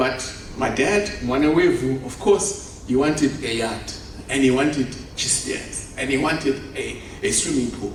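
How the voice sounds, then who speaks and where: A man with lively intonation, audible room echo and noticeable background noise. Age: 50s. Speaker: conference speaker, property developer. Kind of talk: conference keynote speech. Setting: conference stage with audience.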